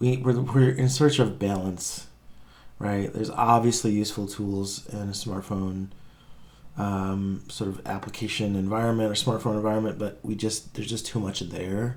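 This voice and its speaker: There is audible room echo as a man with a fairly low pitch speaks at a moderate pace with fairly even intonation. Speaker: tech podcaster and app developer. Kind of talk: reaction video commentary. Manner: casual, many fillers and restarts.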